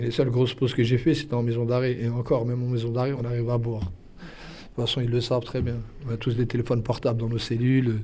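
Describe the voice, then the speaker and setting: Speaking at a very fast pace, a man keeps a monotone, flat intonation at medium pitch. His tone is dark, mellow and somewhat breathy. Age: 30s. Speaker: defendant in court. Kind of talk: interview.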